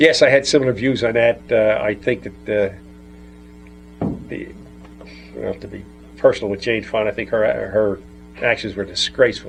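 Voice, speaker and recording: Music plays in the background as a man with an American accent speaks at a moderate pace. He takes long, frequent pauses, and his loudness swings widely. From New Jersey. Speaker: World War II veteran. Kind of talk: interview answer.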